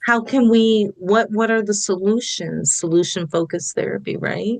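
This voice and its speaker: This is a woman with a plain, everyday voice. Her medium pitch varies in an ordinary way at a moderate pace. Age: 60s. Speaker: therapist. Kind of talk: podcast interview.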